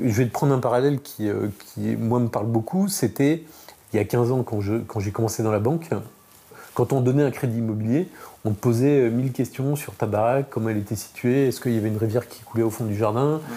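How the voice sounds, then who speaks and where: This man talks at a fairly quick pace in an unremarkable speaking voice. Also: medium pitch for a man, ordinary pitch variation. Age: 40s. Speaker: insurance startup founder. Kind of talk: interview.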